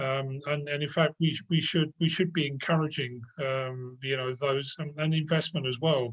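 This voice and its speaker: A man speaks at a moderate pace with hardly any pauses. His voice is fairly high-pitched and somewhat breathy, with fairly even intonation. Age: 70s. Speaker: panel speaker. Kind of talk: panel talk. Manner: halting, many fillers and repeats.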